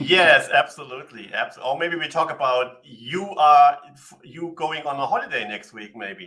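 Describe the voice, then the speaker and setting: A man's fairly high voice with a German accent, big swings in loudness, ordinary pitch variation and a moderate pace. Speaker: livestream co-host. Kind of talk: casual live Q&A chat.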